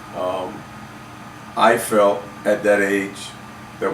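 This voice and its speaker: With noticeable background noise and audible room echo, a man speaks in a fairly low pitch with monotone, flat intonation. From US Virgin Islands (Saint Croix), then Florida from 13. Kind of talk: casual chat.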